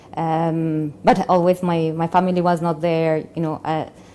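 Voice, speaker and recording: A woman's fairly low voice with a dark, mellow tone, a Spanish accent, monotone, flat intonation and a moderate pace. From Colombia. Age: 40s. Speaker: convert sharing life story. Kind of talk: testimony. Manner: halting.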